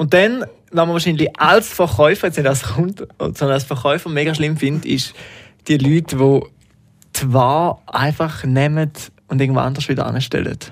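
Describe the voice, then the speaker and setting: With an unremarkable speaking voice, a man talks at a moderate pace, his pitch fairly high with ordinary variation. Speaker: podcast host. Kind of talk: casual chat.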